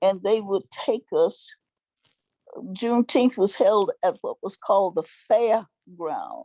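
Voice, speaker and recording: A woman with a Texan accent speaks at a very slow pace in a dry, close sound with no echo. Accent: Texan Southern US. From Marshall, Texas. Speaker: activist, elder. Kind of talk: interview answer.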